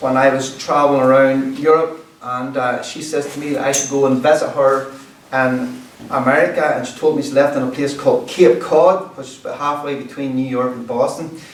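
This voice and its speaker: A man's fairly high, monotone and flat voice at a fairly quick pace, with big swings in loudness, noticeable background noise and audible room echo. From Northern Ireland, rural County Antrim (Ulster Scots area). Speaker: storyteller and musician. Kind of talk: storytelling talk to a community group. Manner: casual, conversational.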